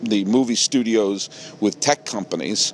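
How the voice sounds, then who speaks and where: A man with a New England accent speaks at a medium pitch over noticeable background noise. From New England, Massachusetts and Connecticut. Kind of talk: solo podcast monologue. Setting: outdoors.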